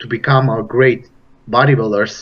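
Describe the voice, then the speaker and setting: With a Romanian accent, a man speaks at a medium pitch and fairly even intonation. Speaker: bodybuilder and personal trainer. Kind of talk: interview. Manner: halting.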